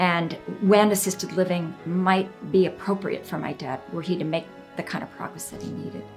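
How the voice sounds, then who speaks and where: Clear music plays behind a woman speaking at a moderate pace. Her pitch varies in an ordinary way. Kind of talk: interview answer. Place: home room.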